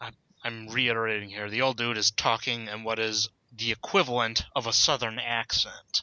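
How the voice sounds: This is a natural reading voice. It is all that is heard.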